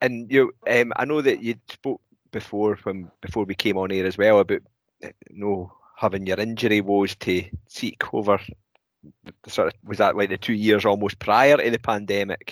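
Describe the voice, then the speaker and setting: Dry and close with no echo, a man's fairly low voice comes in a Scottish accent with fairly even intonation. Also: moderate pace. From Scotland. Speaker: podcast co-host. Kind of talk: casual interview chat.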